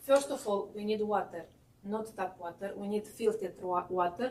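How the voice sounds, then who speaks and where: A woman at medium pitch, with ordinary pitch variation and a moderate pace. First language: not English. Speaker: baking instructor. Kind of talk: cooking demonstration. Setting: class with live audience. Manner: halting.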